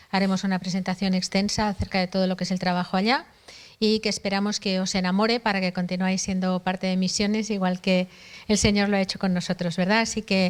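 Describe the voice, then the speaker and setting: A woman in a Spanish accent at a very fast pace, monotone and flat in intonation, with very even loudness. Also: medium pitch for a woman. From Spain, Barcelona area. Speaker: missionary. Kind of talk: introduction at church workshop.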